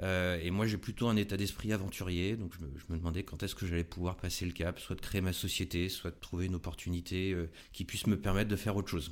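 Intonation here is monotone and flat. Words come at a very fast pace. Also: man, very deep, low pitch for a man. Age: 40s. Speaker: RSE consultant, entrepreneur. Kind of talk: interview. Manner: halting.

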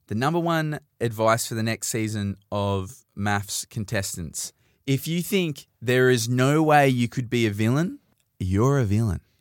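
A man with an Australian accent talks at a fairly slow pace. His medium-pitched voice comes through in a dry, close sound with no echo. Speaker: podcast host. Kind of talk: casual chat. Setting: studio. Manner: loud.

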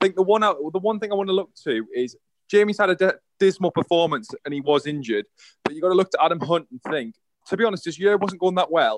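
Recorded with a dry, close sound and no echo, a man with a British accent speaks at a very fast pace and a high pitch, his intonation lively. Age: 20s. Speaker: darts pundit. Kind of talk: casual chat.

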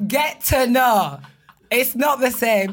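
Loud and high-pitched, a woman's voice swings very widely in pitch in a very clean recording with a silent background. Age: 30s. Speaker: podcast guest. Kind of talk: casual chat.

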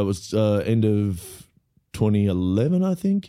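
The speaker has an Australian accent and a dark, mellow tone. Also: man, very clean recording, silent background. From Australia, Melbourne. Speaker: comedian and actor. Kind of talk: casual interview chat. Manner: laid back.

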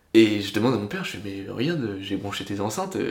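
A man's moderate pace is heard through audible room echo and noticeable background noise. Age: 20s. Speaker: DJ. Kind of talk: casual chat.

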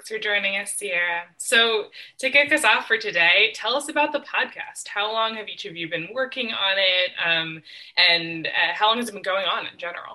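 With an American accent and an ordinary speaking voice, a woman at medium pitch talks at a moderate pace, with lively intonation and big swings in loudness. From Western Massachusetts. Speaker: moderator, PhD student. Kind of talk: moderated panel discussion.

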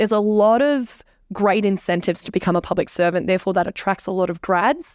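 In a very clean recording with a silent background, a woman with an Australian accent talks very fast at a medium pitch, her loudness very even and her pitch varying in an ordinary way. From Canberra, Australia. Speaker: social media creator. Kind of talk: casual interview.

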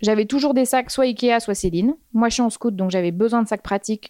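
A woman's dark, mellow tone with ordinary pitch variation, in a dry, close sound with no echo and a very clean recording over a silent background. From Normandy, France. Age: 30s. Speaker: fashion stylist. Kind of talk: casual chat.

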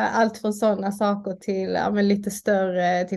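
A woman speaks very slowly in a medium pitch, her tone dark and mellow against a quiet background. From southern Sweden, Malmö (Skåne). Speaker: doctor and union chair. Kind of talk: interview. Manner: halting, with repetitions.

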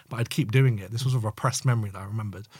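Very fast and somewhat breathy, a man with a London accent speaks at a medium pitch with ordinary pitch variation on a very clean recording with a silent background. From East London. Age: 20s. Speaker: community member. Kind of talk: casual chat.

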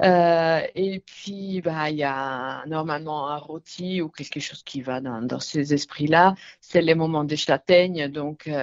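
Someone speaks with an Italian accent at a very slow pace. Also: woman. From northern Italy, north of Milan. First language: Italian (speaking French). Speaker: retail centre director. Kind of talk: radio interview. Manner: hesitant, many fillers.

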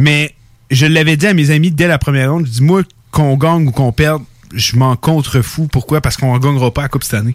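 This man's voice sits fairly high, with ordinary pitch variation, very even loudness and a very fast pace. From Canada. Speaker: hockey fan commentator. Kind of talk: casual chat.

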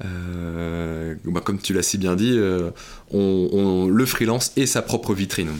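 Very slowly and with ordinary pitch variation, a man speaks in a very deep, low voice on a very clean recording with a silent background. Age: 30s. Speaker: recruitment firm CEO. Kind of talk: podcast interview. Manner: hesitant with fillers.

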